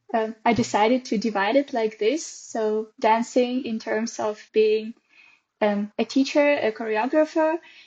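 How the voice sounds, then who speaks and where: A woman with a Russian accent talks fairly slowly at a fairly high pitch with ordinary pitch variation. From Russia, Perm. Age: 20s. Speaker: dance teacher. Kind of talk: casual interview.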